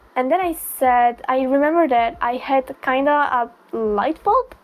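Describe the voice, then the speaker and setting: Speaking with an Italian accent, a woman uses a high pitch and ordinary pitch variation. Her pace is fairly slow. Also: very even loudness. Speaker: booktuber. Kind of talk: casual chat.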